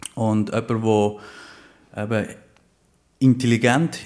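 Fairly slow speech from a man at medium pitch, fairly even in intonation, on a very clean recording with a silent background. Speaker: life coach. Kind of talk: interview. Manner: playful.

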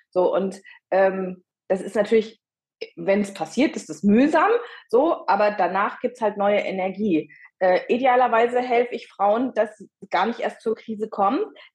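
A woman with a fairly high, somewhat breathy voice at a moderate pace. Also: ordinary pitch variation. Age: 50s. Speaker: midlife coach. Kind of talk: interview.

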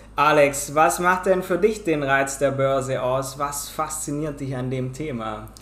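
A man with a fairly high voice speaks at a fairly slow pace, with hardly any pauses and ordinary pitch variation. Audible room echo and noticeable background noise surround him. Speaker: podcast host. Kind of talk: casual interview.

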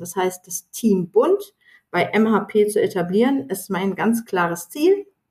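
A woman speaks with a somewhat breathy voice. Her pitch sits in the middle range. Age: 40s. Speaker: sales professional and diversity ambassador. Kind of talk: interview. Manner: halting.

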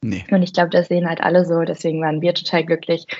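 A woman talks at a very fast pace. Her pitch is fairly low and her intonation fairly even. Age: 20s. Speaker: content marketer at a software review platform. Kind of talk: casual interview.

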